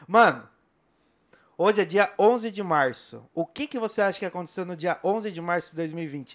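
The speech has lively intonation. Its tone is animated. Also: man. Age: 30s. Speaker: podcast host. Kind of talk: casual interview. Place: studio. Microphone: studio mic.

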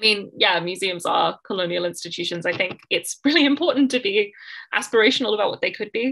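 A woman's very fast, bright, sharp voice with lively intonation against a quiet background. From Australia. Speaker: art historian and writer; panelist, museum educator. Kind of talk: conference talk and panel discussion; panel discussion remarks. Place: home room. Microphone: video call.

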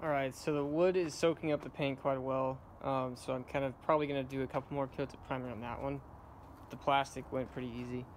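Against noticeable background noise, a man speaks very fast in a monotone, flat intonation. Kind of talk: tutorial. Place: garden. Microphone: phone near.

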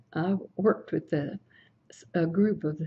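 A woman with an American accent speaks very slowly at a fairly low pitch, with ordinary pitch variation. Her tone is dark, mellow and somewhat breathy. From Brooksville, Florida, US. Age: 80s+. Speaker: oral history interviewee. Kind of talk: oral history interview answer. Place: office.

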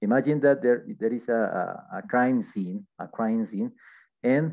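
The man's pace is very slow. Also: quiet background. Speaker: English teacher. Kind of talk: lesson. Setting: screen-shared online class. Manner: halting, with frequent fillers. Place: home room. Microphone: headset.

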